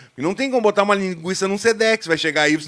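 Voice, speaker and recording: Against a quiet background, a raised, projected voice comes across bright, sharp and animated. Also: man. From Rio Grande do Sul, Brazil. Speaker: football YouTuber, Internacional fan; football YouTuber. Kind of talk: live stream chat with viewers. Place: studio. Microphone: studio mic.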